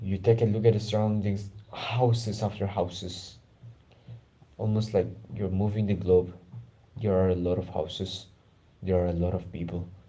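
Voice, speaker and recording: There is audible room echo around a man whose fairly low, somewhat breathy voice has a dark, mellow tone and moves at a moderate pace. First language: not English (English is his third language). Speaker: self-improvement YouTuber. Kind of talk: guided meditation and personal talk. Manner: casual, informal.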